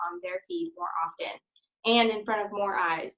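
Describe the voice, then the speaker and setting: A woman's bright, sharp tone at medium pitch and a moderate pace. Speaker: Instagram influencer teaching a class. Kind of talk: workshop talk to a small group. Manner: casual, filler-heavy.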